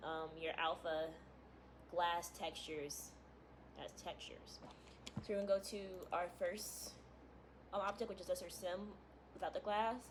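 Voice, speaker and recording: A woman has a medium pitch and fairly even intonation. She leaves long, frequent pauses. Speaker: gaming content creator. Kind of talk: tutorial. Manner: fast; casual, filler-heavy.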